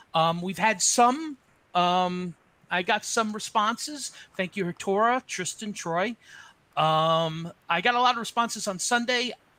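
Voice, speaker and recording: In a very clean recording with a silent background, a man with an American accent talks in a raised, projected voice, high-pitched and bright and sharp in tone, with ordinary pitch variation at a fairly slow pace. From New Jersey. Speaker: nonprofit board president. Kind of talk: board meeting chair.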